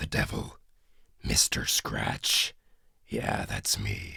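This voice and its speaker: Using a put-on character voice, a man speaks very slowly in a raspy, very deep, low pitch. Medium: read story. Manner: drawling, dragging words out.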